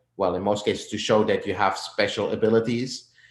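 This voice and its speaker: A man's medium-pitched voice with a Flemish accent and audible room echo. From Flemish Belgium. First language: Flemish Dutch. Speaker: mixing and mastering engineer. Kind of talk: interview.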